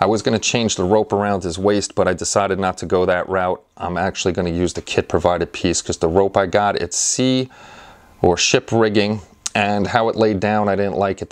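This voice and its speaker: Against a quiet background, a man speaks in an unremarkable speaking voice at a fairly low pitch. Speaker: channel host. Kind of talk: casual vlog chat. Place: workshop. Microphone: lapel.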